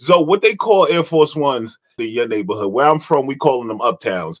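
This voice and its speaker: A man with an American accent talks at a fairly quick pace in a normal speaking voice, his pitch fairly high and his intonation lively. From New York area. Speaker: podcast host. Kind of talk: casual interview chat.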